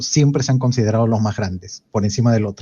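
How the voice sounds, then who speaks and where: A man speaks in a somewhat breathy voice with a Peruvian accent. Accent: Peruvian Spanish (Lima). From Peru, Lima. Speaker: podcast guest. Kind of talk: casual chat.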